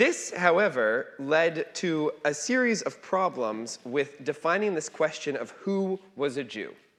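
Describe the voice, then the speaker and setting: A man with a plain, everyday voice speaks at a fairly slow pace with hardly any pauses. His fairly high pitch carries lively intonation. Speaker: rabbi teaching a class. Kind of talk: lecture.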